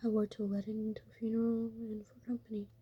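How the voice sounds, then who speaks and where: This speaker is soft-spoken. The pace is moderate. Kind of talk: ASMR story reading. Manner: soft murmur.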